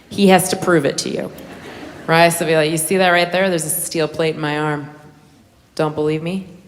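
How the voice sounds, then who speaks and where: The speech moves at a moderate pace with fairly even intonation, and background noise is noticeable. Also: woman. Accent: American. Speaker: stand-up comedian. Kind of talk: stand-up comedy set.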